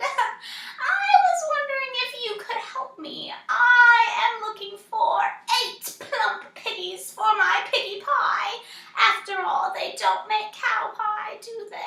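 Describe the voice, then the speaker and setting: A woman uses a put-on character voice at an extremely high pitch. She speaks at a fairly slow pace, with slight echo. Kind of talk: read story. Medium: read story. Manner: grumpy, scheming.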